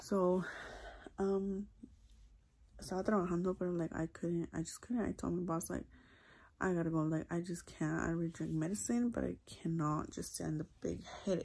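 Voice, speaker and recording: Soft-spoken and dark, mellow in tone, a woman talks at a moderate pace and fairly low pitch, with fairly even intonation and long, frequent pauses. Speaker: vlogger. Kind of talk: casual vlog.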